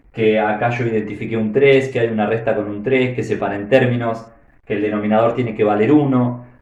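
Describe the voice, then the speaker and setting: A man with an Argentine accent at a very fast pace. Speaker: math teacher. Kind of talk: math tutorial explanation.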